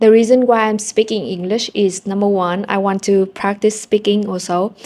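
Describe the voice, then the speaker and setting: In a Vietnamese accent, a woman speaks at a moderate pace with a medium pitch, a dark, mellow tone and monotone, flat intonation. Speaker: language-learning vlogger. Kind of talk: casual vlog storytelling.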